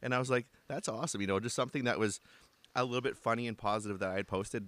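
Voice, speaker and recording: A man with a Canadian accent speaks very fast at a fairly low pitch, with ordinary pitch variation. The recording is very clean with a silent background, dry and close with no echo. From Canada. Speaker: podcast host, father. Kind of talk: casual interview chat.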